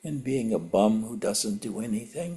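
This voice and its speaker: Somewhat breathy with a dark, mellow tone, a man speaks at a fairly slow pace. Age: 80s+. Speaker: spiritual teacher. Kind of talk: satsang talk. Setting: video call.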